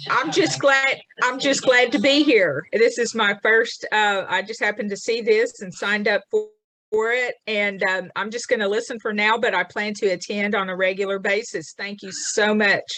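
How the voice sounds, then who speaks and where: A woman speaks at a moderate pace with a fairly high pitch, ordinary pitch variation and a bright, sharp tone. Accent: Southern US. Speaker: webinar attendee. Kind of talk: casual chat.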